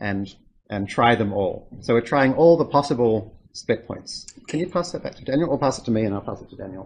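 A man's plain, everyday voice at medium pitch, fairly quick in pace, with lively intonation and big swings in loudness. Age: 40s. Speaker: lecturer. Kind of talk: lecture. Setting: classroom with students.

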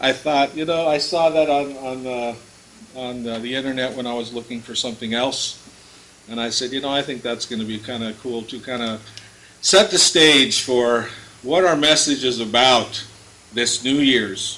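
Speaking at a moderate pace with ordinary pitch variation, a man shows big swings in loudness over light background noise. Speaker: pastor. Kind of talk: sermon. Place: church. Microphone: podium.

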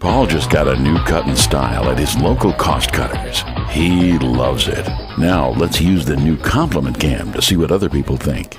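Clear music plays behind a man who speaks at a moderate speed. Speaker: voice actor. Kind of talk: TV commercial read. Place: booth. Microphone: studio mic.

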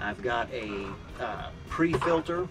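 A man talks with ordinary pitch variation. Music plays clearly behind him. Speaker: sailing vlogger. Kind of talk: casual vlog chat. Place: boat. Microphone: camera far.

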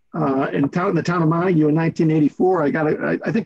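With a quiet background, a man speaks fairly quickly, his pitch varying in an ordinary way. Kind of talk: meeting remarks. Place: home room. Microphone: video call.

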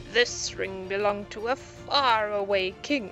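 A growling put-on character voice at a fairly high pitch and fairly slow pace, with clear music in the background. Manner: storytelling.

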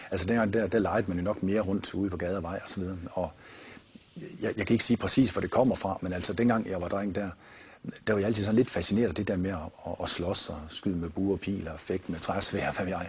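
Somewhat breathy, a man speaks at a fairly quick pace in a fairly low pitch with fairly even intonation. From Denmark, Viborg; Denmark. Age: 50s. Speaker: martial arts founder and author; martial arts teacher. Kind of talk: TV interview. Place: studio.

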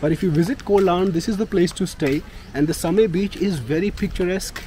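Pitched high, a man's voice moves at a fairly quick pace with noticeable background noise around it. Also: dry sound with no echo. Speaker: travel vlogger. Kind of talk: casual vlog chat. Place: street. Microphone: phone near.

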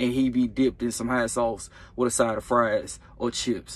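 The sound is dry with no echo as a man speaks. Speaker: truck driver vlogger. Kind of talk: casual vlog chat. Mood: joking, amused. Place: car. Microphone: phone near.

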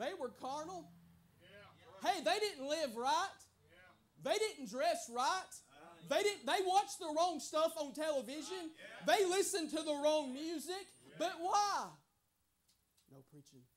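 Speaking at a fairly slow pace with lively intonation, the voice leaves long, frequent pauses and swings widely in loudness over light background noise. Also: man, extremely high pitch for a man. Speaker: preacher. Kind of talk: sermon delivered at a tent revival. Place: tent. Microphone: lapel.

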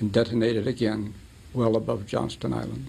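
A man's voice with vocal fry. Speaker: interviewee. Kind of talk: interview answer. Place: studio.

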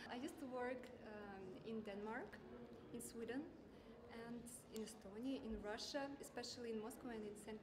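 A woman speaks at a moderate pace, leaving long, frequent pauses. There is noticeable background noise. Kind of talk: interview answer. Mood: friendly, smiling. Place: hall. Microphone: lapel.

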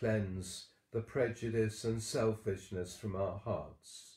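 Against a quiet background with audible room echo, a man speaks very slowly in a solemn tone, his voice fairly low and somewhat breathy, with ordinary pitch variation. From Wales. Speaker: church service leader. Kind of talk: morning prayer service, bilingual Welsh-English, with intercessory prayer. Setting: online church service, livestream. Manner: fervent, solemn and earnest, with slow, measured, devout intonation. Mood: calm, solemn. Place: home room. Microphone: webcam.

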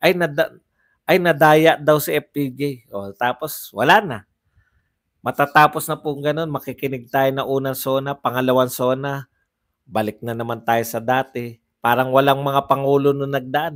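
At a moderate pace, a man speaks with ordinary pitch variation and big swings in loudness against a quiet background. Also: fairly high pitch for a man. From Philippines. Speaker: political vlogger. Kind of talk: live-stream commentary reading comments. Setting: hotel room, live stream. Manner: casual, frequent laughter. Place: home room. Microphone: lapel.

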